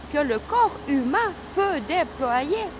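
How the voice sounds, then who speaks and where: Very wide pitch swings mark this woman's voice. Noticeable background noise runs behind her. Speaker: wellness vlogger. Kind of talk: personal testimony vlog.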